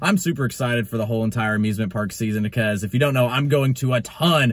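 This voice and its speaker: His pitch shifts in an ordinary way. The man speaks at a very fast pace. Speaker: vlogger. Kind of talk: casual vlog chat. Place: car. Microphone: phone near.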